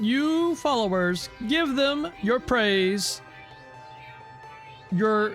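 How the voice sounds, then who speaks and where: Clear music plays behind a man doing a put-on character voice with very wide pitch swings. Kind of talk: regal, imperious.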